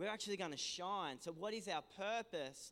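A man speaks in an animated tone with an Australian accent. His pace is moderate and his pitch variation ordinary. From Australia, New South Wales south coast. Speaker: pastor. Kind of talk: sermon. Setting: church.

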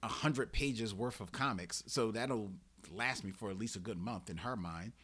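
A man with an American accent has an ordinary speaking voice, a medium pitch and ordinary pitch variation. He talks at a moderate pace on a very clean recording with a silent background. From Philadelphia, Germantown. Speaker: podcaster. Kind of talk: casual chat. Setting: studio.

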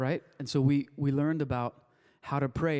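At a moderate pace, a man with a Spanish accent talks at a fairly high pitch in a dark, mellow tone with monotone, flat intonation. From Wilmington, US (Spanish-speaking family). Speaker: pastor. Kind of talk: sermon. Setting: church service with congregation. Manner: casual, conversational with fillers.

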